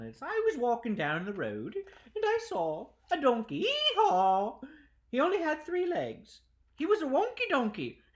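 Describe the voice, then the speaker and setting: A put-on character voice, female-sounding and high-pitched, in a playful tone at a moderate pace. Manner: playful, comical.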